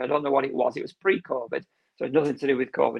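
This is a man's voice. He speaks with a Lancashire accent. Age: 50s. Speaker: heart failure patient educator and gardener. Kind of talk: casual interview.

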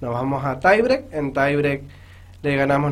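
This man speaks with a fairly high pitch. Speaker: amateur newcom player and referee. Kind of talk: radio interview.

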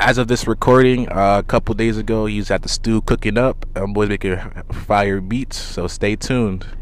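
Audible room echo surrounds a man who speaks at a moderate pace in a fairly low pitch with monotone, flat intonation. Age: young. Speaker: podcast host. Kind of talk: casual interview. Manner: halting, repetitive.

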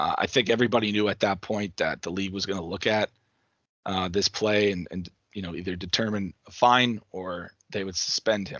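At a moderate pace, a man talks with a plain, everyday voice, fairly low in pitch and with fairly even intonation. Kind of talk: post-game hockey analysis, recapping plays. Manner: conversational, detailed play-by-play breakdown with self-corrections.

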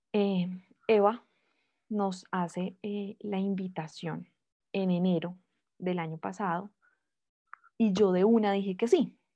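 With a dark, mellow tone and medium pitch, a woman talks at a very slow pace in a monotone, flat intonation, leaving long, frequent pauses against a quiet background. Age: 20s. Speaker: lawyer and mother, podcast guest. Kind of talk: personal testimony in interview. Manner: hesitant, with frequent fillers.

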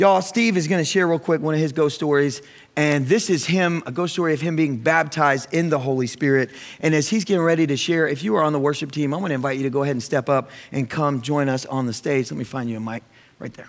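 At a very fast pace, a man with a fairly high voice sounds animated, his pitch varying in an ordinary way. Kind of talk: sermon. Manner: animated, exuberant call-and-response preaching, punchy and conversational; rallying the congregation with exclamations and urgent altar-call appeals.

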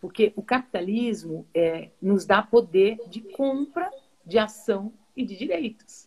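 A woman speaks with a fairly high pitch and a somewhat breathy voice. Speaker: football play-by-play commentator. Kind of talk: interview on a live stream. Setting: live video stream.

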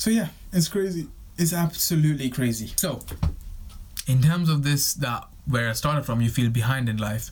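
A man's fairly high, somewhat breathy voice at a moderate pace, broken by long, frequent pauses. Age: 20s. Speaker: podcast host. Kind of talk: solo monologue. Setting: recording on camera. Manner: halting, many repetitions.

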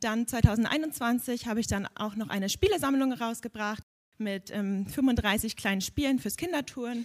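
A woman's fairly high pitch with ordinary variation, an ordinary speaking voice, and a fairly slow pace. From Hamburg. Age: 20s. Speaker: podcast host and children's gym instructor. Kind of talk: live podcast at a congress. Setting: stage with audience.

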